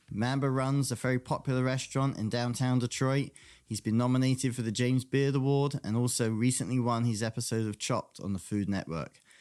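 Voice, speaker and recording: A man with a slight English accent talks at a fairly quick pace with hardly any pauses, fairly even intonation and medium pitch, on a very clean recording with a silent background. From England (London). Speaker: podcast host. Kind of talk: interview podcast.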